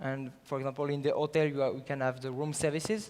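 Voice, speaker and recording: Here a man speaks with a French accent at a medium pitch. His intonation stays fairly even. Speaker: startup founder. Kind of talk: sales pitch. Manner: halting.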